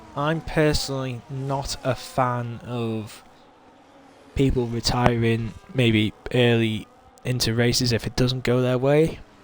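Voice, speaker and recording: Noticeable background noise sits behind a man speaking at medium pitch. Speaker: sim racing league commentator. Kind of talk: live commentary. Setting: live stream.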